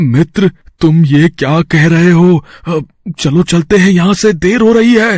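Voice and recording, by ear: In a cartoonish character voice, a man speaks at a high pitch. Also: moderate pace.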